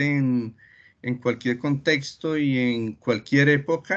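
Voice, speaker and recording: Against a quiet background, a man with a medium-pitched voice speaks very slowly with fairly even intonation. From Colombia, coffee region. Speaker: cartoonist and retired chemist; interviewee. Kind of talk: interview. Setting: video call. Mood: warm, smiling. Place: home room. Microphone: video call.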